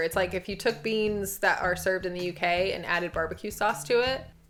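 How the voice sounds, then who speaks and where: Over music in the background, a woman with an American accent and medium pitch speaks fairly quickly with fairly even intonation. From USA. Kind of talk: casual talk to camera.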